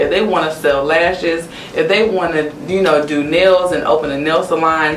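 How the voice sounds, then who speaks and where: Noticeable background noise accompanies a speaker with an American accent. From US South. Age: 20s. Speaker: young business owner and consultant. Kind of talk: interview.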